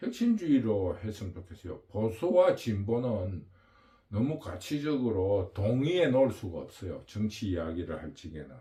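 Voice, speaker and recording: A man talks at a fairly slow pace and fairly low pitch. His loudness swings widely. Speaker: political commentary channel host. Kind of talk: political monologue. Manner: halting, with fillers.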